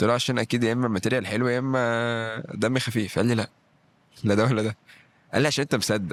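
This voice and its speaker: In a very clean recording with a silent background, a man talks. He speaks at a very fast pace with a Cairo accent. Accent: Egyptian Arabic (Cairo). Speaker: stand-up comedian and actor. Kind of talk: podcast interview. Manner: animated, acts out what he says.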